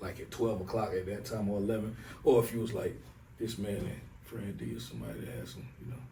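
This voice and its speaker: Talking at a very fast pace in a Southern US accent, a man with a fairly low voice and ordinary pitch variation is heard with audible room echo. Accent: Southern, country. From US South, Raeford, North Carolina. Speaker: rapper. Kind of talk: casual interview chat. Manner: laid-back, conversational with filler phrases.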